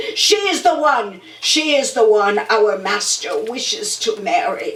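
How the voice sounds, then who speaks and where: A woman's put-on character voice, high-pitched with very wide pitch swings and a fairly slow pace, with slight echo and light background noise. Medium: stage play. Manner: menacing.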